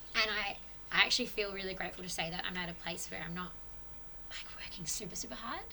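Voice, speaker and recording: Talking at a very fast pace with an Australian accent, a woman is heard with audible room echo and noticeable background noise. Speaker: podcast guest on spirituality. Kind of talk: casual chat.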